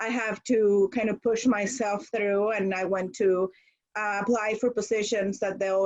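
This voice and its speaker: A woman with a Spanish accent, medium pitch, fairly even intonation and a moderate pace. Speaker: school administrator. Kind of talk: audience comment in online workshop. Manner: direct.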